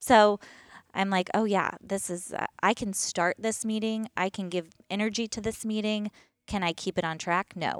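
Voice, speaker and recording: A woman with an American accent speaks at medium pitch and a moderate pace with fairly even intonation, in a very clean recording with a silent background and a dry, close sound with no echo. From US East Coast. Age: 30s. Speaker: boutique owner. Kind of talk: casual interview.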